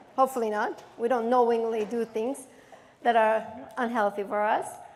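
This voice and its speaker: A woman speaks with a Turkish accent at a moderate pace. Her pitch is fairly high and her tone is animated. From Turkey, Istanbul. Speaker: therapist and keynote speaker. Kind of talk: keynote speech. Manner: animated, interactive with audience.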